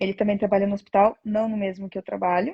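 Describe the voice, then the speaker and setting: Somewhat breathy and dark, mellow in tone, a woman speaks at a medium pitch. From Brazil. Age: 20s. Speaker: nurse. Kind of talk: interview.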